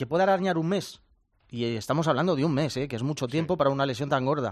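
The speaker is a man. His intonation is lively. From rural Spain. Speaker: futsal pundit. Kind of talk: panel discussion. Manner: animated.

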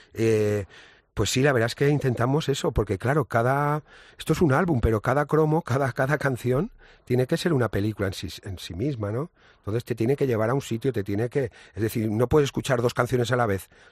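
A man's medium-pitched voice at a fairly quick pace with ordinary pitch variation, in a very clean recording with a silent background and a dry, close sound with no echo. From Ibiza, Spain. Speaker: musician in a band. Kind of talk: casual interview. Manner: halting, repeats words.

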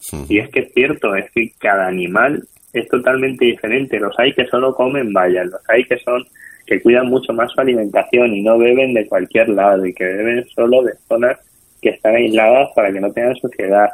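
A man with a plain, everyday voice at medium pitch, moderate pace and ordinary pitch variation. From Spain, Toledo. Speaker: restaurateur and hospitality school director. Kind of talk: interview.

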